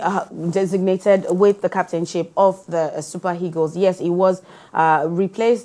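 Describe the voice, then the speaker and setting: A woman with a medium pitch and a dark, mellow tone speaks at a moderate pace. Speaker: news show host. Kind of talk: news discussion. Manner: halting.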